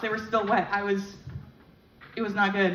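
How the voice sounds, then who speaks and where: A woman talking rather quickly amid clear background noise and audible reverberation from the room. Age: 20s. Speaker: stand-up comedian. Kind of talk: stand-up. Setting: stage with audience. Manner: fast.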